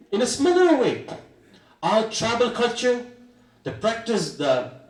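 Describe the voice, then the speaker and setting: A man's high voice at a fairly slow pace, with audible echo in the room. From Meghalaya, India (Garo Hills). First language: Atong. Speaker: state education minister. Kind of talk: formal speech. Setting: convocation ceremony.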